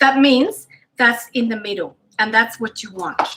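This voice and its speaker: At a moderate pace, a woman with a Spanish accent speaks at a fairly high pitch with fairly even intonation. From Spain. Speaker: cooking show host. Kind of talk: cooking tutorial. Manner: casual, chatty with many fillers.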